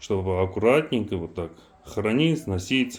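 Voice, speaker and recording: In a fairly low pitch, a man talks at a fairly slow pace. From Armenia. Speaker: knife maker. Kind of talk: casual product demonstration. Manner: halting, many fillers.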